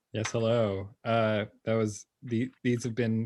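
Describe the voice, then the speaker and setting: In a Canadian accent, a man speaks at a medium pitch against a quiet background. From Ottawa, Canada. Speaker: poet. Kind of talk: panel discussion. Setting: online video call. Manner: hesitant, many fillers.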